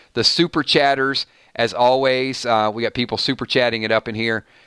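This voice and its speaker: A man with a Georgia accent talks at a fairly quick pace in a medium-pitched voice with ordinary pitch variation and a bright, sharp tone. The recording is very clean, with a silent background and a dry, close sound with no echo. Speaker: YouTube live streamer, TV show commentator. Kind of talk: live stream chat.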